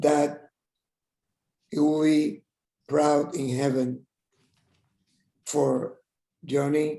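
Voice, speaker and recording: A man with a Spanish accent, fairly high pitch, monotone flat intonation and a dark, mellow tone. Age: 70s. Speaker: tribute speaker. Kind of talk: tribute speech. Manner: halting.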